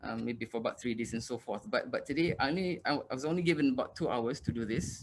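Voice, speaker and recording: A man talking at a very fast pace with hardly any pauses. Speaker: university lecturer. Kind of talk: lecture.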